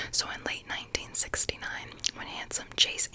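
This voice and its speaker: A woman whispers at a fairly slow pace. Noticeable background noise can be heard. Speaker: ASMR creator. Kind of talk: reading a book blurb. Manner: whispered.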